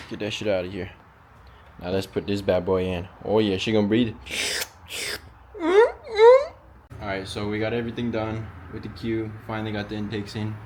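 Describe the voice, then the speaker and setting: Audible room echo surrounds a man's monotone voice with flat intonation. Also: moderate pace. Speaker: car enthusiast YouTuber. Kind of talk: casual DIY car tutorial. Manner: casual, filler-heavy.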